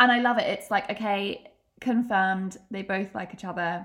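At a medium pitch and a moderate pace, a woman talks in an ordinary speaking voice. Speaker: podcast host. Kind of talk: casual chat.

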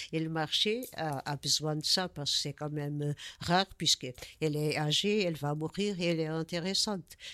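Recorded very cleanly over a silent background, a woman speaks. Her pitch is very deep and low, and her tone is bright and sharp. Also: ordinary pitch variation, moderate pace. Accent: Portuguese. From Portugal. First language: Portuguese (speaking French). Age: 70s. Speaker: artist. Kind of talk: interview. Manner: halting.

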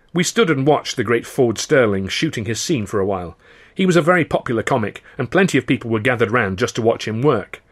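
A natural voice reading aloud.

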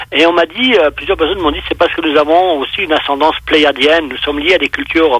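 A man talks fairly quickly in a fairly high voice with ordinary pitch variation, and noticeable background noise is heard. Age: 60s. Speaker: UFO witness and researcher. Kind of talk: casual interview. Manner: hesitant, repeats words.

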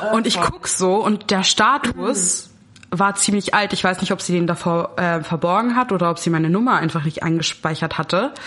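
A woman speaks at a very even loudness. Noticeable background noise can be heard. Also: medium pitch for a woman, ordinary pitch variation, moderate pace. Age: 20s. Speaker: student. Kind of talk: casual chat.

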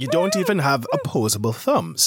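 Putting on a character voice, a man speaks at a moderate pace and medium pitch with big pitch swings, a fairly bright tone and a slightly husky edge.

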